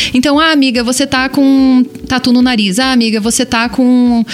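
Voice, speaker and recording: With lively intonation and a high pitch, a woman talks at a moderate pace over noticeable background noise. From small-town Brazil. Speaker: podcast host. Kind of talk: casual chat.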